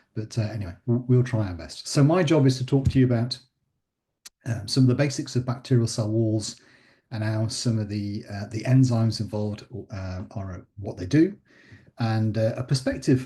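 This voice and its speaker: Against a quiet background, a man with a dark, mellow, somewhat breathy voice at a medium pitch speaks at a moderate pace with ordinary pitch variation. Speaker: professor. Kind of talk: lecture.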